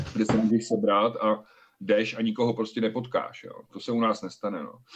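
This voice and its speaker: At a fairly quick pace, a man of medium pitch talks with fairly even intonation in an ordinary speaking voice. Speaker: podcast co-host. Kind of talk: casual chat.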